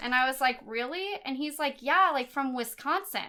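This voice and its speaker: A raised, projected voice with a bright, sharp tone, an American accent and ordinary pitch variation. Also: woman. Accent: lazy accent, sometimes heard as Midwestern. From Northern California (Chico area). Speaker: podcast co-host. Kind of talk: casual chat.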